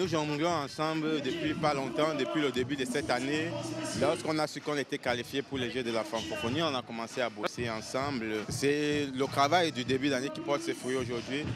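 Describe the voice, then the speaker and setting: Amid noticeable background noise, a man with a fairly high pitch speaks at a fairly quick pace with fairly even intonation. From Cameroon. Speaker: freestyle ball juggler. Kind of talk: interview.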